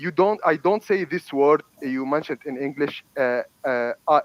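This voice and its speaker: A man is speaking. His pitch sits fairly high, with ordinary pitch variation. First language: Arabic. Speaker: debater. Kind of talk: heated debate. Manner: halting.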